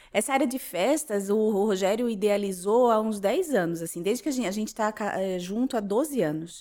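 Speaking at a moderate pace with hardly any pauses, a woman has a dark, mellow tone, a fairly high pitch and ordinary pitch variation. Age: 30s. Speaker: social media influencer and insurance broker. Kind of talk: casual interview, personal life story.

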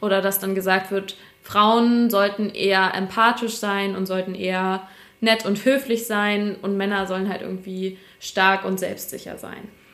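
Fairly slow and monotone, a woman's speech keeps a flat intonation throughout. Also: medium pitch for a woman. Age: 20s. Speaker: business journalist. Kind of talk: casual interview chat.

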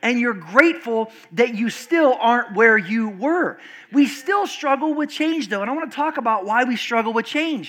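The speaker keeps a moderate pace. Noticeable background noise can be heard. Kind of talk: sermon to a live congregation. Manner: animated, call-and-response, pressing the crowd for amens; warm, earnest and conversational.

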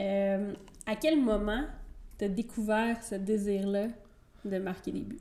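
A woman talks at a very slow pace, leaving long, frequent pauses. Her tone is dark and mellow. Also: medium pitch for a woman, ordinary pitch variation. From Quebec, Trois-Rivières. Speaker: podcast host. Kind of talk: interview.

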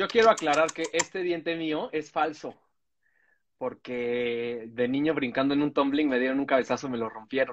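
A man's unremarkable speaking voice, fairly high in pitch, with ordinary pitch variation at a moderate pace. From Mexico City, Cuajimalpa. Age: 40s. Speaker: comedian podcast co-host. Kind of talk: casual chat.

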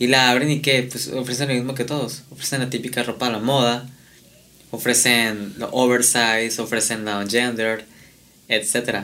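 A man with a Mexican accent speaks at a moderate pace in a medium pitch. His intonation is fairly even, and room echo is audible. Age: 20s. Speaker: fashion designer. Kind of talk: casual chat.

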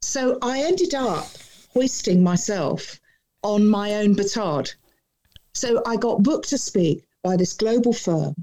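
A woman with a dark, mellow tone and a fairly high pitch speaks fairly slowly, with very wide pitch swings and long, frequent pauses. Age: 50s. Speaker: author and keynote speaker. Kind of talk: interview. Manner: poised.

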